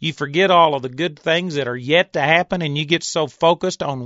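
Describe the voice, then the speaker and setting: He speaks with an unremarkable speaking voice, pitched fairly high for a man. His pace is moderate, and his pitch varies in an ordinary way. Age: 50s. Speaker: Bible teacher. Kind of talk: sermon.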